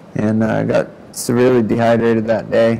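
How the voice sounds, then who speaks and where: A man is speaking. His pitch sits fairly low. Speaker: spinal cord injury survivor. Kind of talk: testimony. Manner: quiet, can't raise voice.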